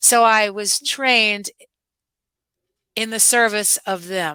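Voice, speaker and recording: With a New York accent, a woman speaks at a fairly high pitch in a bright, sharp tone, in a very clean recording with a silent background. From New York (Brooklyn, Westchester). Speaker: dance teacher. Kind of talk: interview. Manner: animated.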